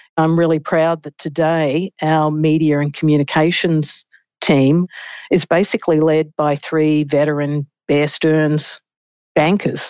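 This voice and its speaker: Speaking at a fairly slow pace with an Australian accent, a woman's very deep, low voice stays monotone and flat, recorded dry and close with no echo against a quiet background. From Australia, Melbourne. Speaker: senior investment banker. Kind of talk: interview.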